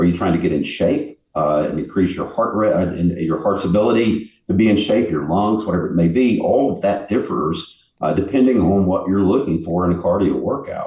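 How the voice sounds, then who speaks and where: Fairly low in pitch, a man speaks at a moderate pace with hardly any pauses and lively intonation. His voice is somewhat breathy, with a dark, mellow tone. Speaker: bodybuilder and fitness expert. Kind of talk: casual interview.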